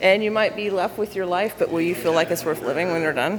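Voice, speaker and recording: A woman with an American accent, fairly low in pitch with ordinary pitch variation, at a fairly quick pace amid noticeable background noise. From US South. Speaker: vlogger. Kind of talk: personal vlog monologue. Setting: waiting room at city hall.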